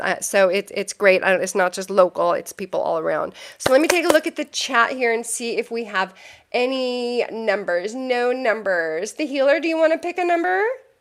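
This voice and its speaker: Her pitch high and swinging very widely, a woman speaks over noticeable background noise. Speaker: tarot reader and psychic. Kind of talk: live stream chat. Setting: live stream. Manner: fast; hesitant with many fillers.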